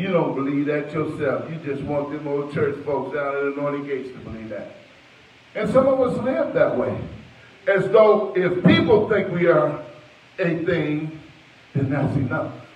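A man's fairly high, animated, warm voice at a moderate pace, with ordinary pitch variation and audible room echo. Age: 60s. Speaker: preacher. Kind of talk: sermon delivered to a church congregation, with call-and-response and prayer. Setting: church with congregation and online stream. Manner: animated, warm and exhortatory, pausing to ask the congregation to say amen; conversational and personal, mixing in anecdotes. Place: church. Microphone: handheld.

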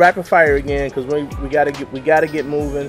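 A man talking at a fairly quick pace with clear music in the background. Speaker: vlogger, interview host. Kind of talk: casual vlog chat. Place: street. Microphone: camera far.

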